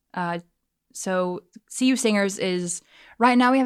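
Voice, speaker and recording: A woman's normal speaking voice at medium pitch, with an American accent, lively intonation and a fairly slow pace, on a very clean recording with a silent background. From South Carolina, US South. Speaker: college student and worship leader. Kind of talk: casual interview.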